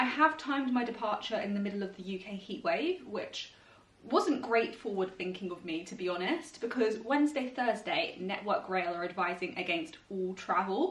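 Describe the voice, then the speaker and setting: A woman with a British accent, fairly high-pitched and with lively intonation, over noticeable background noise. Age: 20s. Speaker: vlogger and actuary. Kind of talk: vlog. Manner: fast.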